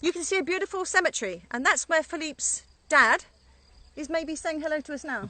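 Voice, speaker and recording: In an English accent, a woman talks at a fairly quick pace with an extremely high pitch and lively intonation, her loudness swinging widely. Her tone is bright and sharp, and the sound is dry and close with no echo. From England. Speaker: winery co-owner. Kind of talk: casual vineyard tour. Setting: outdoors. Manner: relaxed, conversational with fillers.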